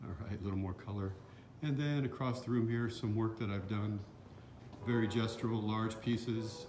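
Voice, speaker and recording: A man's fairly low voice amid audible room echo and noticeable background noise. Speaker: painter and musician. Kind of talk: self-introduction video and studio tour. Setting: glass blowing studio.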